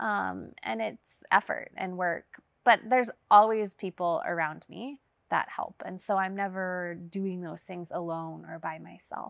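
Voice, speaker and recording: On a very clean recording with a silent background and a dry, close sound with no echo, a woman with an American accent speaks in an unremarkable speaking voice at a medium pitch and fairly slow pace, with ordinary pitch variation and big swings in loudness. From US, Las Vegas. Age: 30s. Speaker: missionary pilot. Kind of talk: testimony.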